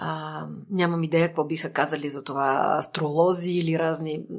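Her voice carries vocal fry. The woman's pitch is very deep and low. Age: 50s. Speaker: psychotherapist. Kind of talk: interview.

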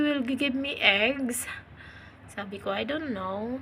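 A woman's high-pitched voice with lively intonation and audible room echo. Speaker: vlogger. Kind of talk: casual vlog narration. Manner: hesitant, many fillers.

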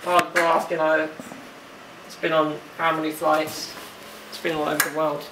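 Noticeable background noise sits under speech delivered at a fairly slow pace. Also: man. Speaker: wheelchair user vlogger. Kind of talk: casual vlog chat. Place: home room. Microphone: phone near.

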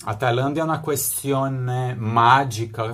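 Somewhat breathy, a man speaks with a non-native accent at a medium pitch. His intonation stays fairly even. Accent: foreign-tinged Italian. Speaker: political promoter and salesman; interviewee commentator. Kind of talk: video monologue. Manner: halting, with many repetitions. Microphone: phone near.

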